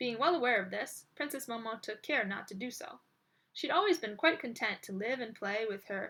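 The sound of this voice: Someone reads in an unforced voice, with lively intonation.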